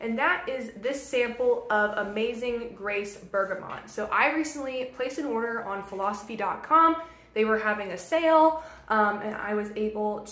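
A woman talks at a moderate pace with ordinary pitch variation, her voice high in pitch. Audible room echo surrounds her speech. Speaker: beauty vlogger. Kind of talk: casual vlog chat.

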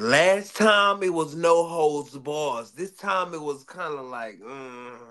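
A bright, sharp tone with lively intonation and big swings in loudness, very slow with hardly any pauses, over a quiet background. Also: man. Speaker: boxing podcast co-host. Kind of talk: casual debate. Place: home room.

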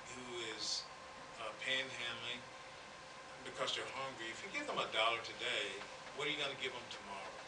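A man speaks with long, frequent pauses against noticeable background noise. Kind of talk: press conference answer. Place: hall. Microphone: podium.

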